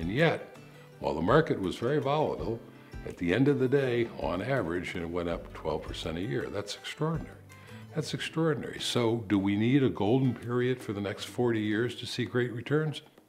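Faint music plays in the background. The speaking pace is fairly quick. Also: man. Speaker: interviewee. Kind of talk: interview answer. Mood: calm, reflective, confident. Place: home room.

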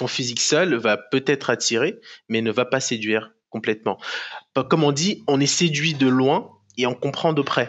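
A man speaks at a moderate pace with ordinary pitch variation over a quiet background. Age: 20s. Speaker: professional bodybuilder; podcast guest. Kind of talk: casual interview. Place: home room. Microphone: headset.

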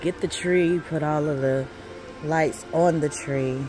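With clear music in the background, a woman speaks with ordinary pitch variation in a dry sound with no echo. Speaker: shopper vlogger. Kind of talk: casual vlog chat. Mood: warm, nostalgic. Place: shop. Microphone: phone near.

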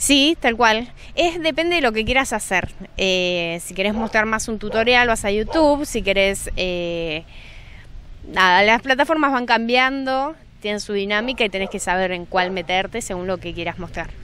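Over light background noise, a woman with a bright, sharp tone speaks at a moderate pace and fairly high pitch with lively intonation, in a dry sound with no echo. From Buenos Aires city, Argentina. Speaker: social media artist, workshop leader. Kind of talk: interview. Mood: friendly, relaxed. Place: hall. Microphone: handheld.

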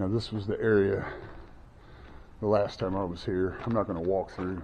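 Over noticeable background noise, the speaker keeps a moderate pace and fairly even intonation. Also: man. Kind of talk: casual vlog commentary. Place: church. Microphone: phone near.

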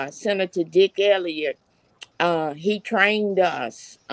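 A woman in a Southern US accent at a very slow pace, with a dry sound with no echo and a quiet background. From Alabama, Dothan; Alabama. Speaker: retired teacher and party activist; retired teacher. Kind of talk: panel discussion. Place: home room. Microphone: video call.

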